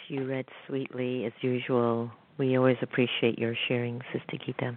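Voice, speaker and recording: Very deep, low female speech, delivered fairly slowly. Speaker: radio host, meditation teacher. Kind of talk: radio interview. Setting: studio.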